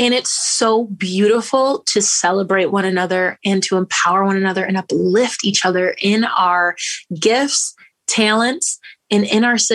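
A woman with an American accent speaks at a medium pitch and a moderate pace. Her loudness stays very even, with ordinary pitch variation. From Grand Rapids, Michigan. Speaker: singer. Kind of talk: interview.

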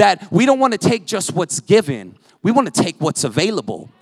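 Loud and fairly quick, a man speaks with ordinary pitch variation in a dry, close sound with no echo. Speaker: preacher. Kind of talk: sermon. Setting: church.

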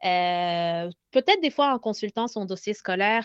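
A woman speaks with lively intonation. The sound is dry and close with no echo, and the background is quiet. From Lebanon. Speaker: pedagogical consultant. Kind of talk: casual interview. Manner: halting.

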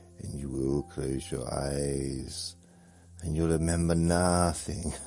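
A man's put-on character voice, very deep and low in pitch, at a very slow pace, with clear background noise. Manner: spooky, sinister.

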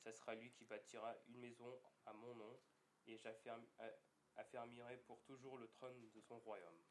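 Amid audible room echo, a man at a medium pitch talks at a moderate pace with monotone, flat intonation. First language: French. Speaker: interpreter. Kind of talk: live interpretation of sermon; reading scripture aloud. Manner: halting.

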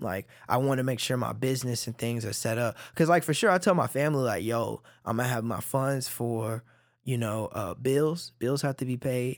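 A man with a normal speaking voice and an American accent talks at a moderate pace and medium pitch, with ordinary pitch variation. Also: very clean recording, silent background. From Dallas area, Texas (Oak Cliff, Cedar Hill). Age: 20s. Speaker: artist. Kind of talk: casual chat. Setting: studio.

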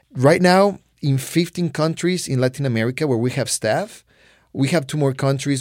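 This man has a Spanish accent and a medium pitch, speaking at a moderate pace with ordinary pitch variation. The recording is very clean and the background silent. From Mexico. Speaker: mission organization regional leader. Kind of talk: interview. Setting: studio.

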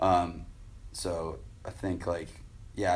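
A man's very deep, low, somewhat breathy voice. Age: 30s. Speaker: pro BMX rider and judge. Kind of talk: casual interview chat. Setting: garage.

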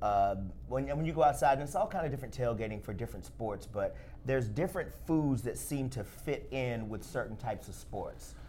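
Audible room echo surrounds a man with a Southern US accent who talks at a fairly quick pace with hardly any pauses. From Alabama, US South. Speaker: podcast host, food editor. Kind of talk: casual chat. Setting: studio.

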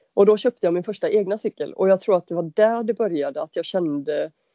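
A woman speaks at a fairly quick pace with ordinary pitch variation. She has a normal speaking voice. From western Sweden (Halland, Varberg). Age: 30s. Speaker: bicycle mechanic and adventure cyclist. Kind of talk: interview.

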